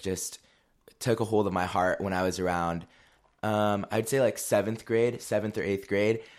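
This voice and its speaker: Recorded very cleanly against a silent background, this man's fairly low voice keeps a fairly even intonation and is an unremarkable speaking voice. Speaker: guest, former youth group student. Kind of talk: casual interview chat.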